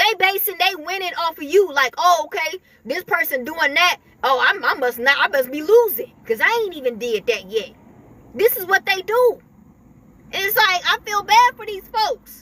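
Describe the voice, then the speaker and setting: A woman speaks in a raised, projected voice at an extremely high pitch, her pitch swinging very widely. The pace is moderate, and the sound is dry and close with no echo. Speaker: spiritual video creator. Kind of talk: spiritual talk to camera. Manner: halting, with many repetitions.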